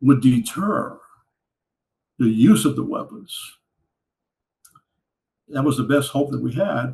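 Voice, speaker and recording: Speaking with an American accent, a man uses a fairly high pitch, vocal fry and lively intonation at a fairly slow pace, with long, frequent pauses. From Louisiana, USA. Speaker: Cold War Air Force veteran. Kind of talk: interview answer.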